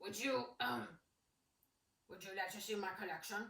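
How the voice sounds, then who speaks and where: A put-on character voice, female-sounding and at a middle pitch, delivers lines at a moderate pace. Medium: read story. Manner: gruff, curt.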